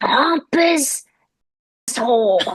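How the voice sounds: With a raspy, high-pitched put-on character voice, the speaker sounds female.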